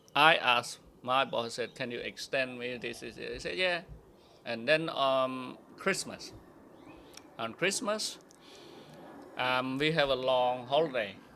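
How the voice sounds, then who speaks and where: A man at a very slow pace and medium pitch, with a bright, sharp tone, ordinary pitch variation and long, frequent pauses. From Cambodia. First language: Khmer. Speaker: immigrant sharing life story. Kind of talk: interview testimony. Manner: halting.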